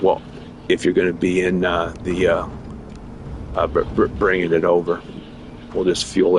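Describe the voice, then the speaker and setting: A man delivers his words at a moderate pace as noticeable background noise continues. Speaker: gaming streamer. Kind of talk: casual chat. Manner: halting.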